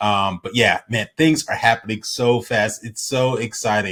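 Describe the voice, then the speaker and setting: A man's animated voice with ordinary pitch variation. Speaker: crypto YouTuber. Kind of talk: casual commentary video. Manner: fast.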